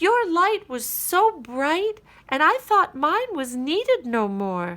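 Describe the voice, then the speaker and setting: A woman uses a put-on character voice at an extremely high pitch. She talks at a fairly slow pace with very wide pitch swings. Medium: read story. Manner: small, earnest.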